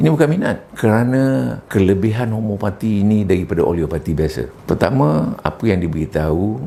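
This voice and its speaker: A man speaks at a moderate pace in a very deep, low voice with lively intonation, over noticeable background noise. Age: 70s. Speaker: retired school principal, patient testimonial. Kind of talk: testimony.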